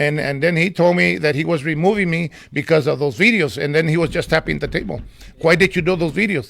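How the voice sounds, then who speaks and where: Fairly high-pitched with vocal fry, a man rattles along at a very fast pace with ordinary pitch variation. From California. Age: 70s. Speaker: community volunteer and former city commissioner. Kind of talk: casual interview. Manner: animated.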